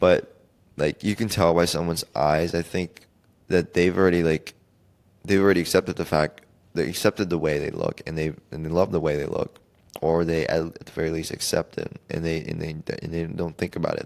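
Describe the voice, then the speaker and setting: A man talks at a fairly quick pace. His pitch is very deep and low, and his intonation stays fairly even. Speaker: podcast host. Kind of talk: solo podcast monologue. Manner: soft-spoken; halting.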